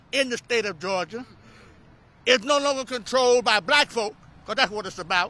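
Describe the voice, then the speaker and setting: Recorded very cleanly against a silent background, a man uses a raised, projected voice with an extremely high pitch, a bright, sharp tone and ordinary pitch variation, moving at a moderate pace with long, frequent pauses. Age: 70s. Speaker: pastor and voting rights activist. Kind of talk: fiery speech at a rally. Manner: animated, preacher-style call and response.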